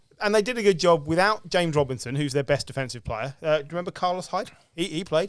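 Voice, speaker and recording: A man with a fairly high pitch and a British accent, lively in intonation and very fast in pace. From Britain. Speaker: sports podcast host. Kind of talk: casual chat. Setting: around a table at a home.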